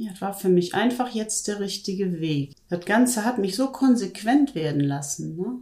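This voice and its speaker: With hardly any pauses, a woman speaks at a moderate pace in a normal speaking voice, her medium pitch carrying lively intonation. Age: 50s. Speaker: weight-loss program participant. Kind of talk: interview. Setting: studio, in person.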